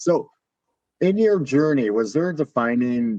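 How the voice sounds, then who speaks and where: A man with a slight northern US accent and lively intonation, in a dry, close sound with no echo. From US Midwest, Illinois. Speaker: podcast host. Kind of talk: interview.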